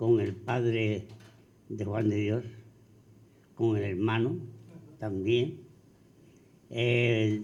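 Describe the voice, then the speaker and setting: At a very slow pace, a man talks in a dark, mellow tone of medium pitch, with audible room echo. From Andalusia, Spain (Arcos). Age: 80s+. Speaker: panel guest recalling local history. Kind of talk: public forum talk.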